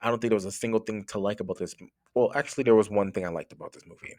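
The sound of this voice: Using a raspy, put-on character voice, a man rattles along at a very fast pace in a medium pitch.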